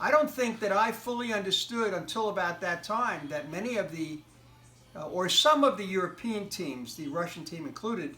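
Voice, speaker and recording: A man's raised, projected, high-pitched voice with an American accent, lively intonation and a moderate pace, over noticeable background noise. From United States. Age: 60s. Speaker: interviewee. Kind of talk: interview. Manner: halting.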